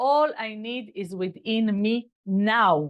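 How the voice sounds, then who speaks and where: The speaker is a woman. Her speech comes with a non-native accent. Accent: non-native English, self-remarked. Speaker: kabbalah teacher. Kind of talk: lecture. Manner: halting.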